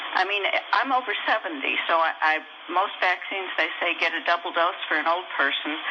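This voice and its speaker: With an American accent, a woman talks fairly quickly with ordinary pitch variation and very even loudness against noticeable background noise. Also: fairly low pitch for a woman. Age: 70s. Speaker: caller. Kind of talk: call-in question. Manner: halting.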